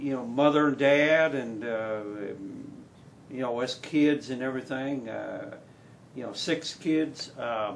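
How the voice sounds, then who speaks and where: In a Wisconsin accent, a man of medium pitch speaks at a very slow pace with long, frequent pauses and fairly even intonation. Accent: northern US (Wisconsin). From Wisconsin, US Upper Midwest. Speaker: country singer. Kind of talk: casual interview. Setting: studio. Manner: halting, many fillers.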